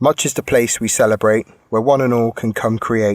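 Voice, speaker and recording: At a moderate pace, a man with an English accent speaks in a medium pitch. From England, Bristol. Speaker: podcast co-host. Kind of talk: reading aloud; casual chat.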